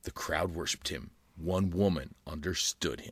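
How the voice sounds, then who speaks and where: At a moderate pace, a man puts on a character voice with a very deep, low pitch. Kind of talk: dramatic old-time announcer. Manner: dramatic.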